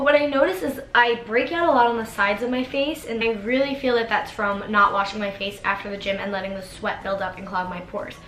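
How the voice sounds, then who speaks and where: Amid noticeable background noise, a woman with a fairly high pitch and ordinary pitch variation speaks with hardly any pauses. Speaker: beauty vlogger. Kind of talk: casual talk to camera.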